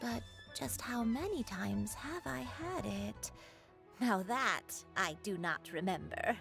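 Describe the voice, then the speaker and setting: A woman uses a put-on character voice at a fairly slow pace, with long, frequent pauses. Clear music plays in the background. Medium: video game. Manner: slow, dreamy, wandering.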